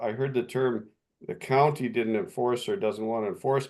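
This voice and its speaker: A man with a Canadian accent speaks at medium pitch with ordinary pitch variation. He has a plain, everyday voice. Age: 60s. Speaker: municipal official and lake resident. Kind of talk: video call meeting discussion.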